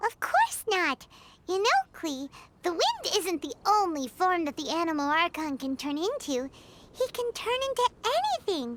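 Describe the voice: A woman in a cartoonish character voice speaks at an extremely high pitch, with a fairly bright tone and very wide pitch swings. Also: fairly slow pace.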